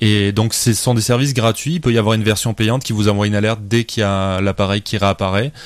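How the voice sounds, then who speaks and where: A man talks very fast with hardly any pauses, very even loudness, and fairly even intonation at a fairly low pitch. The recording is very clean, with a silent background. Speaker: amateur photographer. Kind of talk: casual chat.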